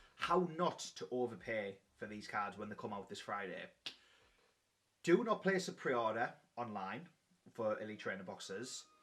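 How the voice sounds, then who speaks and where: A man in a strong British accent, medium in pitch, with very wide pitch swings, big swings in loudness and long, frequent pauses. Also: moderate pace. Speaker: YouTuber, trading card collector. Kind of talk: casual vlog commentary.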